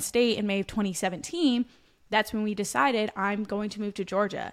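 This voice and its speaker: An unremarkable speaking voice moves at a moderate pace with fairly even intonation, recorded very cleanly against a silent background. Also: woman. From Pennsylvania. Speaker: podcast co-host, personal trainer. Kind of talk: casual chat.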